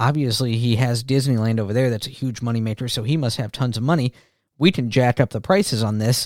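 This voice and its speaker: Speaking in a normal speaking voice at a fairly quick pace, a man uses medium pitch with ordinary variation, captured in a very clean, dry, close recording with no echo and a silent background. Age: 40s. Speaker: podcast host. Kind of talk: casual podcast monologue. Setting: home recording.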